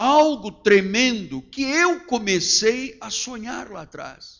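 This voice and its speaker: Lively intonation runs through speech delivered at a very slow pace. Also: man. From Portuguese family, born in Angola. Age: 60s. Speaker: pastor. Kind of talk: sermon. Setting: church.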